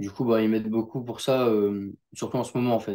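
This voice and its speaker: A man speaks at a medium pitch in a dark, mellow tone with monotone, flat intonation, on a very clean recording with a silent background. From northern France, near Lille. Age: young. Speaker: jiu-jitsu athlete. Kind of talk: interview. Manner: casual, hesitant.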